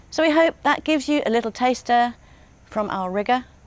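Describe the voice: At a moderate pace, a woman speaks with lively intonation and a fairly high pitch.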